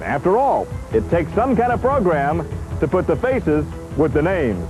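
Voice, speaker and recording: A man speaks in an upbeat tone at a moderate pace, his loudness very even throughout. Music plays in the background. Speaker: TV host. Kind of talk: home video host narration. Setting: outdoors.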